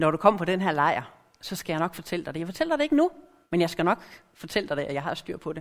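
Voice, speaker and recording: At a very fast pace, a woman with a fairly low pitch talks with ordinary pitch variation. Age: middle-aged. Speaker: lay preacher. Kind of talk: sermon.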